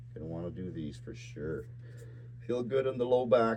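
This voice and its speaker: Vocal fry marks a man's voice as his pitch swings very widely. He keeps a moderate pace, and audible room echo surrounds him. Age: 60s. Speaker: fitness channel host. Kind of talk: exercise tutorial.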